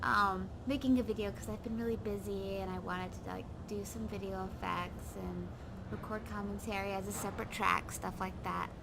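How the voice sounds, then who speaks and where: A quiet woman speaks at a moderate pace over noticeable background noise. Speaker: video game home decor tour host. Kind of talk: casual game tour commentary.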